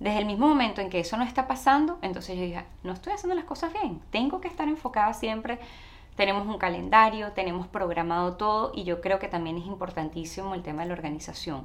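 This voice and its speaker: A woman with a Venezuelan accent at a fairly quick pace. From Venezuela, Caracas. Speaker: actress and TV presenter, immigration adviser. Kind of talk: interview.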